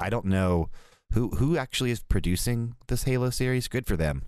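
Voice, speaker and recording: A normal speaking voice comes through at a moderate pace. The background is quiet. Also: man. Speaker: podcast host. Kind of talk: casual chat.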